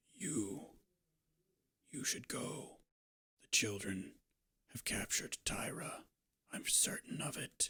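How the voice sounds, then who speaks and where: Whispering in a put-on character voice, a man goes at a fairly slow pace with long, frequent pauses. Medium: actual play. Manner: strained, halting.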